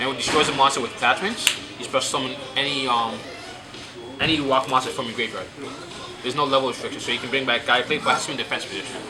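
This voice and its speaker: Speech comes at a very fast pace with fairly even intonation, broken by long, frequent pauses. Music plays in the background, and room echo is audible. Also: man, medium pitch for a man. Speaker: card game player presenting his deck. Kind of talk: casual deck showcase. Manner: halting.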